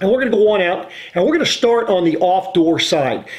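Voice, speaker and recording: With the background quiet, a man speaks fairly quickly and with lively intonation. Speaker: RV salesman. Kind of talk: casual vlog explanation. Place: home room.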